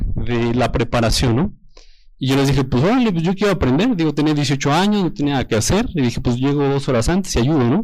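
Ordinary in pitch variation, a man with a plain, everyday voice speaks fairly quickly at a fairly high pitch. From Mexico, Toluca. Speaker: engaged churchgoer giving testimony. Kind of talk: testimony.

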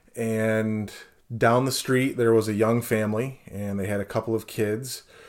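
The recording is very clean, with a silent background. Delivery comes at a moderate pace with fairly even intonation. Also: man. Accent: American. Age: 40s. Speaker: bereaved sibling sharing his story. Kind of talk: interview, personal testimony. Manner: hesitant, many fillers.

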